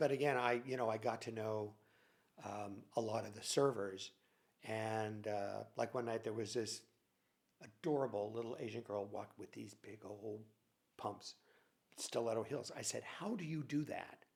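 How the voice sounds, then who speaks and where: A man's medium-pitched voice with vocal fry, fairly even intonation, a moderate pace and long, frequent pauses. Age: 70s. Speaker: former nightclub worker. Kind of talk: casual chat. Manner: halting, many fillers.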